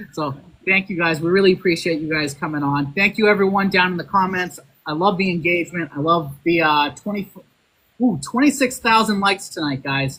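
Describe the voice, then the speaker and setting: In a Boston accent, the speaker talks at a fairly quick pace with a bright, sharp tone. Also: man, high pitch for a man, ordinary pitch variation. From Boston, Massachusetts. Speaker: podcast host. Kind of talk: casual chat.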